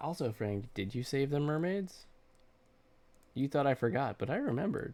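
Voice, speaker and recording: Speaking in a plain, everyday voice, a man with a fairly high pitch and lively intonation keeps a moderate pace on a very clean recording with a silent background. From US Midwest, central Wisconsin. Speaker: digital artist streamer. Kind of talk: casual livestream chat while drawing. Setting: livestream.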